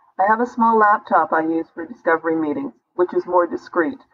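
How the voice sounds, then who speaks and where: An unremarkable speaking voice. It moves at a moderate pace. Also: woman. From Canada. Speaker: business consultant. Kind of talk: interview answer.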